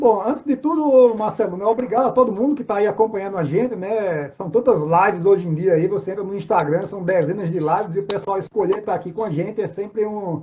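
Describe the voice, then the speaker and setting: A man talks at a fairly quick pace with a high pitch and ordinary pitch variation. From Northeast Brazil, João Pessoa, Paraíba. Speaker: career mentor and executive. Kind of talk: casual live interview. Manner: halting, many fillers.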